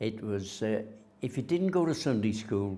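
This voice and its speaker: A man speaks with a North Welsh accent. His tone is dark and mellow. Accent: north Wales English. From north Wales, Rhuddlan. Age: 80s+. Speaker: local resident sharing heritage memories. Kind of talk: oral history interview. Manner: halting, with frequent fillers.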